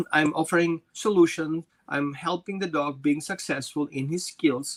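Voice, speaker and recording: In a non-native accent, the speaker goes at a fairly slow pace, the sound dry and close with no echo on a very clean recording with a silent background. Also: man. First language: not English. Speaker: dog trainer. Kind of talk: interview.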